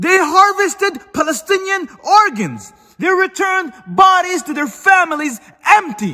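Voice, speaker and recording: Shouting in a raised, projected voice, a man reaches an extremely high pitch with lively intonation. He keeps a fairly slow pace. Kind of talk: social media rant. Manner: loud, yelling.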